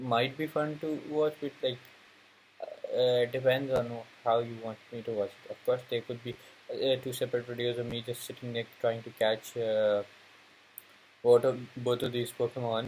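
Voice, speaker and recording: A man speaks at a moderate pace and medium pitch, his voice somewhat breathy. His intonation is monotone and flat, with long, frequent pauses. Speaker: gaming YouTuber. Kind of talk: let's play commentary. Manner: halting, many fillers; low energy.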